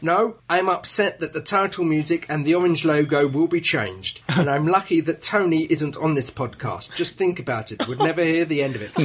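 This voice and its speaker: An unremarkable speaking voice belongs to a man whose fairly high pitch moves with ordinary variation. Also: hardly any pauses. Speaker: podcast host. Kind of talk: casual chat.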